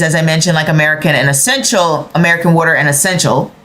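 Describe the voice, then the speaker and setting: Noticeable background noise runs under a woman who speaks very fast. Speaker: tarot and astrology reader. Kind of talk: astrology forecast monologue. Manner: hesitant, with fillers.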